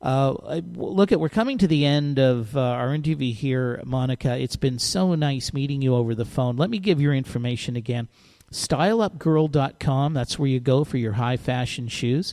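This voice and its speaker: At a moderate pace with hardly any pauses, a man speaks with medium pitch, ordinary pitch variation and a dark, mellow tone. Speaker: radio host. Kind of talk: interview. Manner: halting, stuttering.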